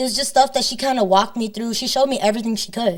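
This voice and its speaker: A woman speaks with a Spanish accent. Her pitch is fairly high, with ordinary pitch variation. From northern Illinois, Rockford. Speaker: singer-songwriter. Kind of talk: interview conversation.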